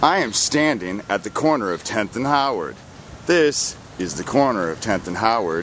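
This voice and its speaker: A man with a medium-pitched voice talks at a moderate pace, making very wide pitch swings. Noticeable background noise is present. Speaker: citizen investigator. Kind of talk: walking tour narration. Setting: outdoors, walking downtown streets.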